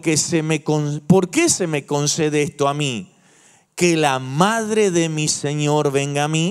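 A man is talking. The background is quiet. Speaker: pastor. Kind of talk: sermon. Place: church. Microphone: handheld.

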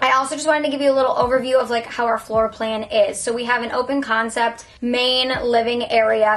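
The speech comes at a fairly quick pace. Its intonation is monotone and flat. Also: woman. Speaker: lifestyle vlogger. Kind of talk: casual vlog chat.

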